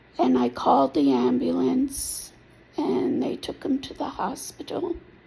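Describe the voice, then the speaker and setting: Noticeable background noise sits under speech that unfolds at a fairly slow pace. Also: woman. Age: 60s. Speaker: applicant telling personal story. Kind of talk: personal testimony. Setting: self-recorded video.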